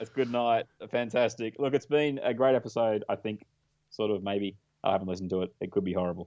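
A man talks at a fairly quick pace in a medium pitch. He has an unremarkable speaking voice with ordinary pitch variation. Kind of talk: joking banter with a mock play-by-play call. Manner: rapid, playful, teasing, repeating the call like a race caller.

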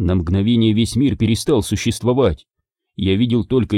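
A quiet background behind plain reading aloud

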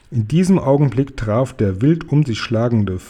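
Lively intonation throughout plain reading aloud.

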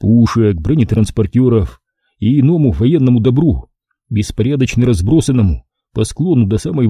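Over a quiet background, the clip presents an unforced reading voice.

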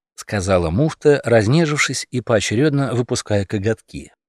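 At a moderate pace, a man of medium pitch speaks with lively intonation in a very clean recording with a silent background and a dry, close sound with no echo.

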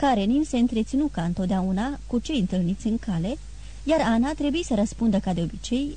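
The clip is someone reading aloud in a natural voice with lively intonation.

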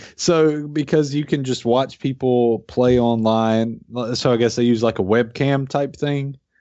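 At a medium pitch, a man talks in a plain, everyday voice with fairly even intonation. His pace is fairly slow and his loudness very even. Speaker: podcast host. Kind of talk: casual chat over beers.

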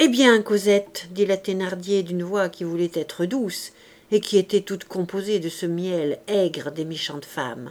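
With fairly even intonation, the text comes in an unforced reading voice.

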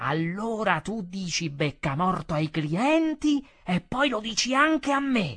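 Shouting in a high voice, a man speaks at a fairly slow pace with very wide pitch swings. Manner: shouting, angry.

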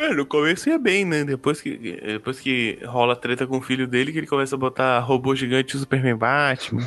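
A man's normal speaking voice, fairly quick and fairly even in intonation, with hardly any pauses. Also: medium pitch for a man. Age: 20s. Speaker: comics podcaster. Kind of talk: casual chat.

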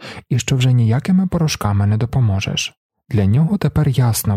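Against a quiet background, someone does plain reading aloud with lively intonation.

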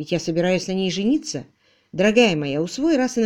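Lively intonation runs through an unforced reading voice, recorded against a quiet background.

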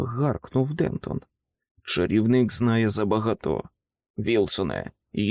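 Quiet surroundings behind a natural reading voice

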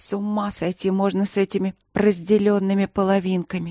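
A woman with a medium-pitched voice speaks in a flat monotone, the sound dry and close with no echo. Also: fairly quick pace. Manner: muttering under breath.

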